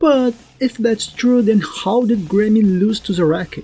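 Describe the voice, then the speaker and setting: Speech comes at a moderate speed. A non-native accent is heard. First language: not English. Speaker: anime analysis YouTuber. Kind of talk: video essay narration.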